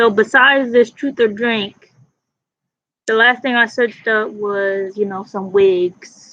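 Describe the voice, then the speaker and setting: A woman speaks loudly at a very slow pace. Her tone is bright and sharp, and her pitch is fairly high. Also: fairly even intonation. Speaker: vlogger. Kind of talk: casual chat.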